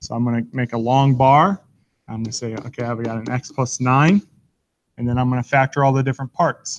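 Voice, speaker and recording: A plain, everyday voice from a man, medium-pitched and fairly quick, with a dry, close sound and no echo. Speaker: math teacher. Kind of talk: tutorial.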